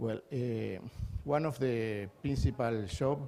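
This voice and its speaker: A man talks with a Spanish accent. His tone is dark and mellow. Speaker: energy systems engineer. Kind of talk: conference talk. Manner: halting.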